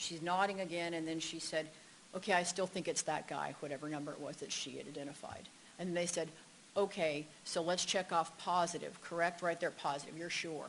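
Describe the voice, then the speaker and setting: Flat, monotone delivery from a woman at a fairly low pitch and a fairly quick pace. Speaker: expert witness, psychology professor. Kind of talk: court testimony; casual chat. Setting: courtroom. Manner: fast.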